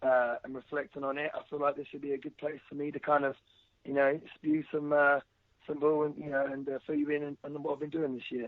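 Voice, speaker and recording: Talking at a fairly quick pace in an English accent, a man with a fairly high pitch keeps his intonation flat and monotone. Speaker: professional wrestler. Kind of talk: interview. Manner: halting.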